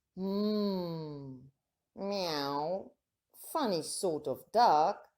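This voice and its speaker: A woman puts on a character voice. Her pitch sits fairly low. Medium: read story. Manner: meowing.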